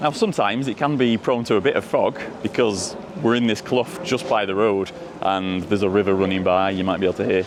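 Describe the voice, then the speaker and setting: A man speaks at a very fast pace with a fairly low pitch and ordinary pitch variation. Noticeable background noise runs under his voice. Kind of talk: folklore storytelling while walking. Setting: outdoors. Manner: casual, chatty.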